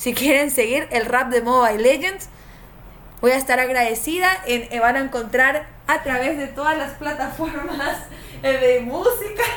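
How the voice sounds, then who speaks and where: Noticeable background noise and audible room echo surround a woman's high-pitched voice. Her tone is animated, her pitch variation ordinary and her pace fairly slow. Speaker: game streamer and tournament caster. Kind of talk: live stream commentary.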